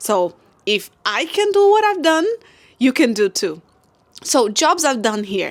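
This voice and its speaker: Speaking at a fairly slow pace, a woman with a high voice makes very wide pitch swings. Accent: non-native. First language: not English. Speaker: content creator. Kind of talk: casual advice vlog. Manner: halting, with self-corrections.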